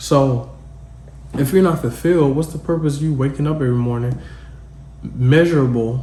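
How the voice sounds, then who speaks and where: Long, frequent pauses break up a man's fairly high-pitched, fairly even speech, heard with audible room echo. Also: moderate pace. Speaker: podcast host. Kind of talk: solo podcast monologue. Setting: at home. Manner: casual, conversational.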